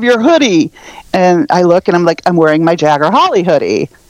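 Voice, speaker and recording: A woman's fairly quick speech with very wide pitch swings over noticeable background noise. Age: 50s. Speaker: pop punk music fan. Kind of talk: casual chat.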